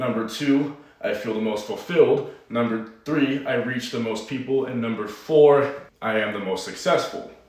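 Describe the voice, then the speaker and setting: Noticeable background noise and audible room echo surround a man's voice. He talks at a moderate pace, fairly high-pitched, with ordinary pitch variation. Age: 20s. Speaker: online fitness coach. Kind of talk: personal vlog monologue.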